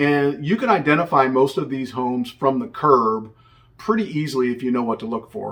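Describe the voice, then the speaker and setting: Lively intonation from a man with a US Midwestern accent, fairly high in pitch and fairly quick in pace. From Indiana, US Midwest. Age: 60s. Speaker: realtor. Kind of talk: tutorial. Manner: casual, conversational with fillers.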